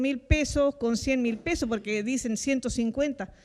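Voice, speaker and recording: In a very clean recording with a silent background, a woman speaks at a high pitch. She keeps a fairly slow pace and fairly even intonation. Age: 60s. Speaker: citizen panelist. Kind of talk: televised panel discussion.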